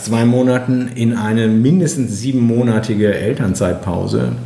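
In a room with audible echo, a man with a fairly low pitch and a dark, mellow, somewhat breathy tone speaks at a moderate pace. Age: 40s. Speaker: nursing teacher. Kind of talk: interview. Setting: on location, in person.

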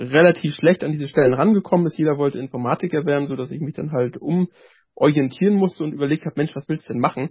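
This man has an ordinary speaking voice, pitched fairly high. He talks at a fairly quick pace with ordinary pitch variation. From northern Germany, Rostock. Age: 30s. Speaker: author and former elderly-care worker, care manager. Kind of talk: casual interview chat.

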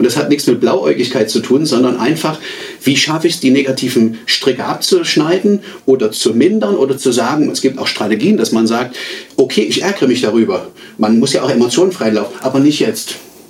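Fairly quick speech with lively intonation over noticeable background noise. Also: man, medium pitch for a man. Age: 40s. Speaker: magician and communication trainer. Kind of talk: interview; magic trick performance.

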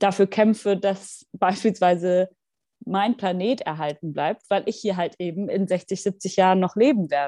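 A woman's normal speaking voice at a moderate pace, with ordinary pitch variation and a quiet background. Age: 20s. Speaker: member of parliament. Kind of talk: interview.

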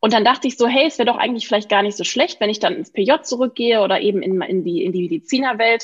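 With hardly any pauses, a woman talks very fast at a fairly high pitch and with lively intonation. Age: 30s. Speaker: physician and natural cosmetics founder. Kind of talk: podcast interview.

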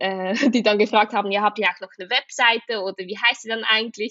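Talking at a fairly quick pace with a Swiss German accent, a woman keeps a fairly high pitch and monotone, flat intonation. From Switzerland. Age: 20s. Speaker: entrepreneur, social media agency co-founder. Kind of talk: casual interview. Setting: remote recording.

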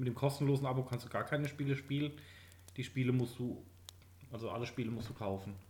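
A man speaks at a very fast pace and medium pitch. His intonation stays fairly even, broken by long, frequent pauses. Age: late 20s. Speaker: podcast co-host, gamer. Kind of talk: casual chat.

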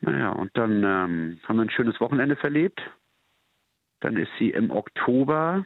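A man speaks with lively intonation. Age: 40s. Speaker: bouncer. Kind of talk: phone interview.

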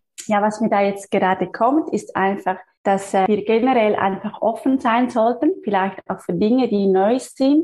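A woman speaks at a moderate pace with lively intonation and a fairly high pitch. Her tone is dark and mellow, and somewhat breathy. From Switzerland. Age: 30s. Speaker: physiotherapist and energy healer. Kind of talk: interview.

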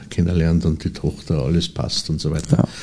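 A man's very deep, low voice with vocal fry, a dark, mellow tone and a moderate pace. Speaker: cabaret artist and literary performer. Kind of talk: interview. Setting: studio.

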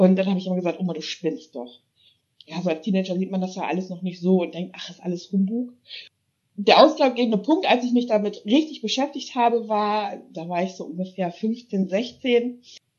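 A woman with a plain, everyday voice speaks at a medium pitch and moderate pace, her intonation lively and her loudness swinging widely. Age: 30s. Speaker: paranormal investigator. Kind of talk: casual chat.

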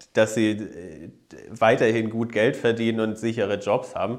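A man of medium pitch. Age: 30s. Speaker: politician. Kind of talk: interview.

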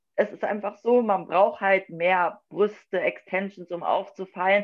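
Fairly even intonation marks this normal speaking voice. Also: woman. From northern Germany, Wolfsburg, Lower Saxony. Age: 20s. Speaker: figure bodybuilding athlete. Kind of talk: casual chat.

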